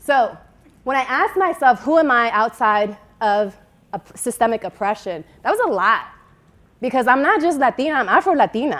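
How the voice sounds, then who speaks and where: Her pitch high and swinging very widely, a woman talks in an animated tone at a moderate pace. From Dominican Republic, Santiago. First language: Spanish. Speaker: keynote speaker. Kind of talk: keynote speech. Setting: stage with audience.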